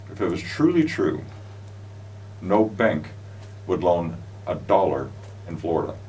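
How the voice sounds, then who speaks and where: A man's fairly low voice with an American accent, fairly slow with long, frequent pauses and lively intonation, plus audible room echo and noticeable background noise. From US West Coast, California (Los Angeles). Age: 60s. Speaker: show host, business founder. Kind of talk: casual chat. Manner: animated.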